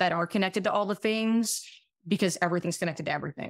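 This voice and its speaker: A woman speaks at medium pitch with fairly even intonation. The recording is very clean, with a silent background. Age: 30s. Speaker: family physician. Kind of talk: casual chat. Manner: halting.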